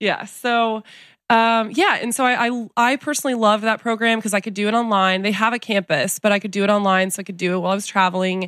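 Speaking with a slight Southern US accent, a woman talks at a very fast pace with fairly even intonation. The recording is very clean, with a silent background. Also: fairly high pitch for a woman. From US South, Texas and Colorado. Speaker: nutritionist touring with a pop star. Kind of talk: casual interview chat.

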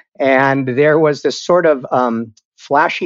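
The voice is unremarkable as speaking voices go. The sound is dry and close with no echo, and the background is quiet. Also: man. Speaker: television writer. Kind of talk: casual interview chat.

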